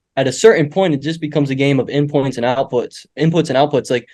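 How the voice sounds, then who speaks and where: This man talks very fast. His voice sits fairly high. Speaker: agency owner and business coach. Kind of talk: live Q&A session. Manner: animated.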